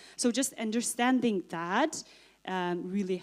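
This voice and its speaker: A woman with a Mongolian accent speaks at a moderate pace with ordinary pitch variation. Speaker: author and TB survivor. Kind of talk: panel answer at conference.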